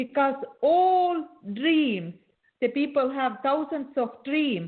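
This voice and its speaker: Lively intonation marks this very slow speech in a non-native accent. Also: woman, high pitch for a woman. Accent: non-native English, noticeable. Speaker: beauty and coaching expert. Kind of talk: interview. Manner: halting, repeats words.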